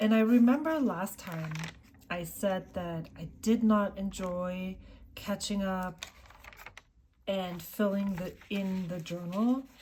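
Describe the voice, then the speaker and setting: Speaking very slowly with a German accent, a woman leaves long, frequent pauses, her loudness swinging widely, while noticeable background noise sits behind her. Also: medium pitch for a woman, ordinary pitch variation. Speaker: journaling vlogger. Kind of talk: casual chat. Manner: halting.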